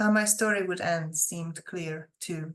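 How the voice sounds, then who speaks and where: The speaker talks at a fairly slow pace with a non-native accent and fairly even intonation. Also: woman. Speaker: author. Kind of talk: fiction reading.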